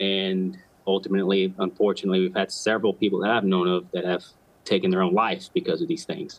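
Talking at a fairly quick pace, a man with a fairly low pitch uses lively intonation. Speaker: military veteran and first responder; guest. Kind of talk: interview. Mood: earnest, reflective. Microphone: video call.

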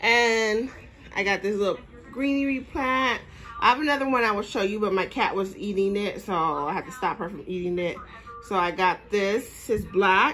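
A woman talks at a moderate pace while faint music sits in the background. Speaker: shopping haul vlogger. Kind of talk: casual vlog chat. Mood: pleased, relaxed. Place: home room. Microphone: phone near.

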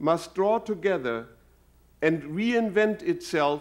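A man with a German accent, very slow and lively in intonation, on a very clean recording with a silent background. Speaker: university president. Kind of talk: inaugural address. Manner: formal.

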